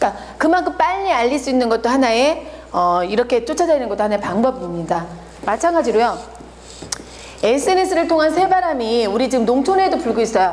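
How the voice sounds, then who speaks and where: Over noticeable background noise and audible room echo, a woman talks at a fairly quick pace. Her high pitch swings very widely while her loudness stays very even. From Korea, not Jeolla. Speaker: marketing lecturer. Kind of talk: lecture.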